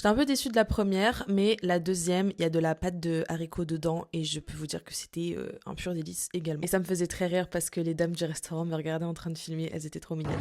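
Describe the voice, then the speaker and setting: A woman talks at a very fast pace. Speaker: travel vlogger. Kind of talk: travel vlog. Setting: café. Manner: animated.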